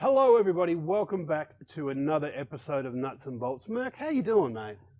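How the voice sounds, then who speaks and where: With an Australian accent, a man talks at a fairly quick pace in a fairly high pitch, his voice making very wide pitch swings and big swings in loudness. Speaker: podcast co-host. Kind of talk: casual chat.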